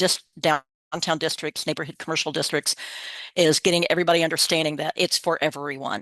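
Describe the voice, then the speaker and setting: A woman speaks with an American accent at a fairly low pitch. The sound is dry and close with no echo, over a quiet background. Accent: slight Southern picked up over Midwestern. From Kansas, US Midwest. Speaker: state program coordinator, workshop presenter. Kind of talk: webinar presentation. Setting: online webinar. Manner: casual, conversational.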